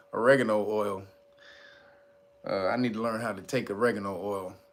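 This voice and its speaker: A man with an animated tone at a moderate pace, amid audible room echo. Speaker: livestream news commentator. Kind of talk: casual livestream chat. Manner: animated, casual.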